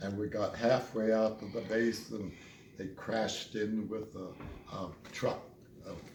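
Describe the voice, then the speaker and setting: A man's fairly slow speech, with fairly even intonation, comes through noticeable background noise. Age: 80s+. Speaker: war veteran. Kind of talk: storytelling interview answer.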